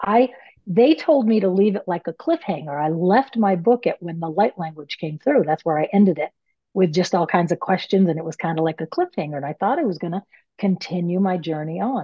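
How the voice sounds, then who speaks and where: Using an American accent, a woman speaks at a fairly quick pace. Her medium-pitched voice has lively intonation. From US Northeast, Maine. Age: 60s. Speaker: author and medium. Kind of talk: podcast interview. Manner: animated.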